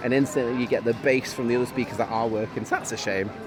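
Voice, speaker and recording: A man speaks at a very fast pace in a Yorkshire accent, his pitch medium and his intonation monotone and flat. Noticeable background noise sits behind him. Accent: weird accent, northwestern Yorkshire. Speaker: theme park vlogger. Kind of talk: casual chat.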